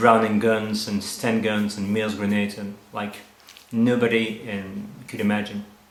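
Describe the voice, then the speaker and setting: A man with a French accent speaks at a fairly slow pace in a fairly low pitch and a flat monotone, with audible room echo and noticeable background noise. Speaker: winemaker. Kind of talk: interview. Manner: halting.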